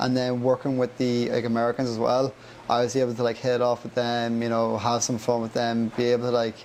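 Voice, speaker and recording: With an Irish accent and medium pitch, a man talks at a very fast pace in monotone, flat intonation, with noticeable background noise present. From Ireland, County Monaghan. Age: 20s. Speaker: young traveller back from a US work visa. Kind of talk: podcast interview. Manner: casual, many fillers like 'like'.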